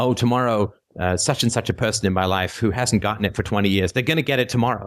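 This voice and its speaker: A man at a fairly quick pace. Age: 40s. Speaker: philosophy call-in show host. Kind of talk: call-in show talk. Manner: hesitant with many fillers.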